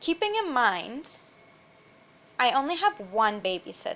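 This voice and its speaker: Speaking at a very slow pace, a woman uses a raised, projected voice with a high pitch and very wide pitch swings. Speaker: vlogger. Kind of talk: casual chat. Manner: loud; animated.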